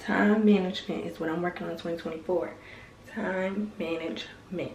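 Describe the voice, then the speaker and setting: A woman's fairly low voice at a fairly quick pace, with ordinary pitch variation, audible room echo and noticeable background noise. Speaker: vlogger, dental assisting student. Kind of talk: casual vlog.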